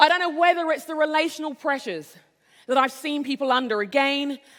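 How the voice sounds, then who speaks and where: A woman with an English accent talks fairly quickly in a high, bright, sharp voice with lively intonation. The recording is very clean, with a silent background. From England. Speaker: conference speaker. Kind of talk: inspirational keynote talk.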